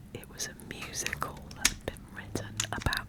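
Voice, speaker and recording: Someone whispers at a fairly slow pace with noticeable background noise. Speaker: artist and small online shop owner. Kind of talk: ASMR whispered narration. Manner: whispered.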